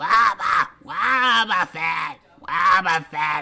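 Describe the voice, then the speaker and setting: A man shouts in a put-on character voice. His pace is very slow. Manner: repetitive creature cry.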